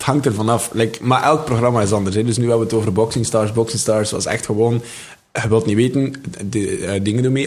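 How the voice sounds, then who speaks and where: A man with a Flemish accent talks at a very fast pace and medium pitch, with fairly even intonation and noticeable background noise. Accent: Flemish Dutch. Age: 20s. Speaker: comedian and rapper. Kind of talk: casual chat.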